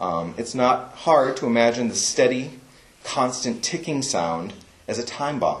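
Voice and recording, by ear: Text is read aloud in a natural voice whose intonation is lively.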